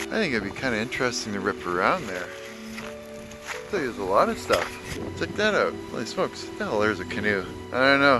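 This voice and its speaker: Over clear music in the background, a man speaks at a fairly quick pace with a dry sound and no echo. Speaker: vlogger. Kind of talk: casual vlog chat. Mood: nostalgic, amused. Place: street. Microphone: phone near.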